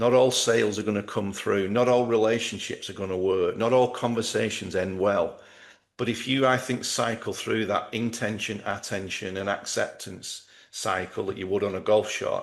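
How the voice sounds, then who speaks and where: With a plain, everyday voice, a man speaks at a moderate pace and a fairly low pitch, with ordinary pitch variation against a quiet background. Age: 60s. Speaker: golf performance coach. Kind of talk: interview.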